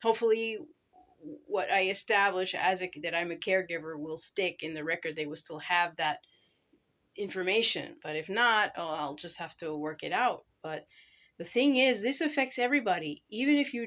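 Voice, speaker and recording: The intonation is lively. The pace is moderate. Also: woman, medium pitch for a woman, very clean recording, silent background. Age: 50s. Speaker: family caregiver vlogger. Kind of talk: casual vlog monologue. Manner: halting.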